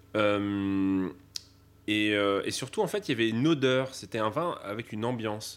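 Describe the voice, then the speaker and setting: Very clean recording with a silent background, featuring a man's medium-pitched voice at a fairly slow pace. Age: young. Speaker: sommelier. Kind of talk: interview testimony.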